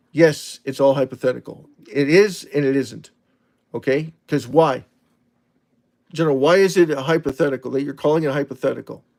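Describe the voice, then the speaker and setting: A man with a fairly high pitch speaks at a fairly quick pace but with long, frequent pauses, his intonation fairly even. The recording is very clean, with a silent background. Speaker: crypto livestream host. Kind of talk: live stream chat reading viewer comments. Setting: live stream. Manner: fast.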